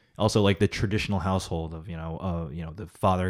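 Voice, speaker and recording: A man with a very deep, low pitch and a Californian accent talks at a fairly quick pace with fairly even intonation, on a very clean recording with a silent background. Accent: Californian American English. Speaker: podcast co-host. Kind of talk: casual chat.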